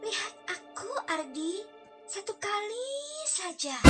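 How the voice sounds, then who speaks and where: A female-sounding put-on character voice, hoarse and at an extremely high pitch, moves at a fairly slow pace over faint music in the background. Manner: eerie, menacing.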